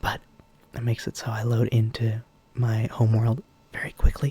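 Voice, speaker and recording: A soft-spoken voice comes through noticeable background noise. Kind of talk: casual ASMR rambling. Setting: home microphone with slight buzzing.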